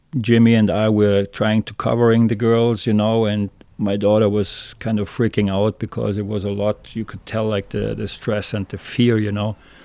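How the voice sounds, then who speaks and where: A man speaks at a moderate pace with a dark, mellow tone. His fairly low pitch stays monotone and flat. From Germany, southern Munich area. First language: German. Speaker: fishing guide. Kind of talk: interview, personal testimony. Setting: podcast interview. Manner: halting, many fillers and restarts.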